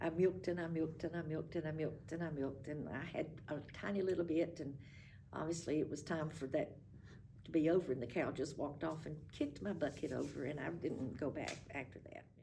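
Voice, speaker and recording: With a Southern Appalachian accent, a woman speaks fairly quickly in a very deep, low pitch, her dark, mellow tone carrying vocal fry and ordinary pitch variation. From Appalachian North Carolina. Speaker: retired school administrator. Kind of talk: oral history interview. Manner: reminiscing, conversational.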